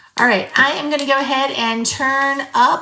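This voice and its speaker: Noticeable background noise is present. Over it, a woman speaks at a moderate rate. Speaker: journaling content creator. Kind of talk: casual craft tutorial. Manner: casual, chatty.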